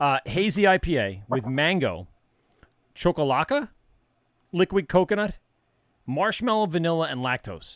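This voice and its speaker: A man with a New York accent speaks with very wide pitch swings. The sound is dry and close with no echo, in a very clean recording with a silent background. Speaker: interviewer hosting a beer tasting. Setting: tasting a beer during a conversation.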